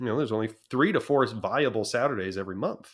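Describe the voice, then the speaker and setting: Heard on a very clean recording with a silent background, a man talks at a fairly quick pace. He has an ordinary speaking voice with ordinary pitch variation. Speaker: auctioneer and business founder. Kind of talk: interview answer.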